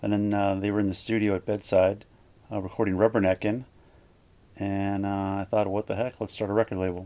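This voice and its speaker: A man with a Canadian Prairie accent, fairly low-pitched, dark and mellow, flat and monotone, at a fairly quick pace. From Manitoba, Canada (Gimli). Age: 50s. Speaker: record label owner. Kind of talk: casual interview.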